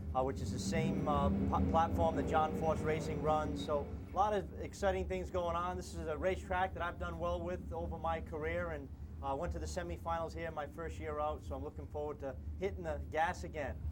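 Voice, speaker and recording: Amid audible room echo and noticeable background noise, a man with a New England accent and very deep, low pitch talks at a fairly quick pace with ordinary pitch variation. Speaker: drag racing driver. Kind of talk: TV interview. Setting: outdoors at a racetrack.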